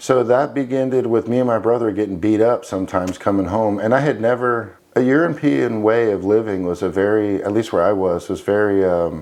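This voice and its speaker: A man with a Florida accent talks at a fairly quick pace with hardly any pauses, a fairly low pitch and ordinary pitch variation, with noticeable background noise behind him. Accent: American, Florida. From Florida, US (early childhood in Spain). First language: Spanish. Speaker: military veteran, former special forces trainer. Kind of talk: interview testimony.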